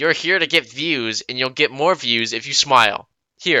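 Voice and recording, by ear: Reading aloud in a natural voice with lively intonation, over a quiet background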